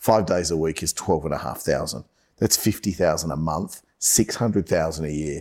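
A man speaks with a very deep, low pitch and ordinary pitch variation. His pace is fairly quick. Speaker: sales podcast host. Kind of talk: casual chat. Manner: fast.

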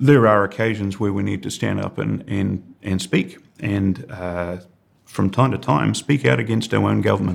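A man with a New Zealand accent speaks at a moderate pace, fairly low in pitch with vocal fry and lively intonation. The recording is very clean, with a silent background. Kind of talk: podcast interview.

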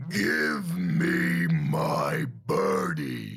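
A man's booming, raspy put-on character voice at a very deep, low pitch.

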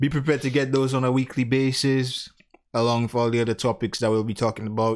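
Talking at a very fast pace, a man keeps his loudness very even and his intonation fairly even. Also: medium pitch for a man. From Dominica (Caribbean). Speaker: podcast co-host. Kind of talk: casual chat. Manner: relaxed.

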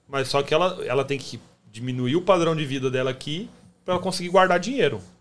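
At a fairly quick pace, a man speaks with a Brazilian accent and ordinary pitch variation. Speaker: podcast host. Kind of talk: casual interview chat.

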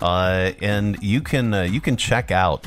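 Music plays in the background as a man speaks very slowly at a fairly low pitch. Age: 50s. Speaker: radio show host. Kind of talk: casual morning radio chat.

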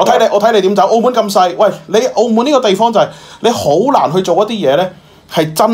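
The voice belongs to a man. Noticeable background noise runs underneath. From Macau. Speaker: current affairs commentator. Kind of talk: casual chat. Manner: animated.

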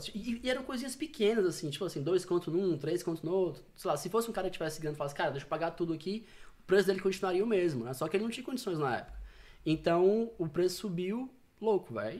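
A man with a high-pitched voice rattles along at a very fast speed. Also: lively intonation. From Fortaleza, Ceará, Brazil. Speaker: insurance broker. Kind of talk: casual chat.

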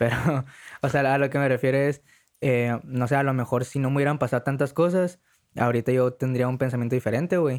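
A man with an ordinary speaking voice at medium pitch, fairly even intonation, very even loudness and a fairly quick pace. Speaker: podcast co-host. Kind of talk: casual chat. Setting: home studio.

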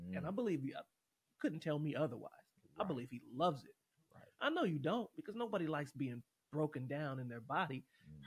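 Here a man speaks with an American accent at a fairly high pitch. His voice is somewhat breathy, and the sound is dry and close with no echo. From Los Angeles, Watts; high school in Portland. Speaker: university choir director and former college football player. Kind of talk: casual interview, life stories.

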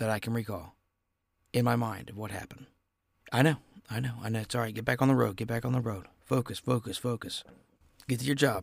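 A man with an American accent talks at a very fast pace, with vocal fry and fairly even intonation. Long, frequent pauses break up his speech. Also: medium pitch for a man. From Ohio. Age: 20s. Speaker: podcast host. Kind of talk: casual solo chat. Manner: rambling, filler-heavy.

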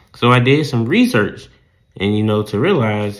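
Lively intonation marks a man's speech in a Southern US accent. He keeps a moderate pace at medium pitch. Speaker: podcast host, sports and news commentator. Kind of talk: solo podcast commentary. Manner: rambling, filler-heavy.

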